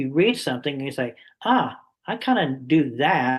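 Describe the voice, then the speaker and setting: This man has an unremarkable speaking voice. His pitch sits fairly high, and he keeps a moderate pace. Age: 60s. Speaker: summit interviewer. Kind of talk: interview.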